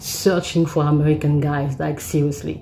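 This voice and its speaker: Speaking at a moderate tempo, this woman has a non-native accent. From Africa. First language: not English. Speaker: vlogger. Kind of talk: story time. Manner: halting, many fillers and repeats.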